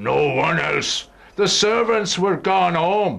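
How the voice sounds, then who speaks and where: A man puts on a raspy, high-pitched character voice and speaks at a very slow pace. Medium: audio drama.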